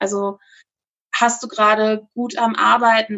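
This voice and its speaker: With ordinary pitch variation, the speaker uses a plain, everyday voice. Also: woman. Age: 30s. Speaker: social media influencer. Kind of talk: interview. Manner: casual with fillers.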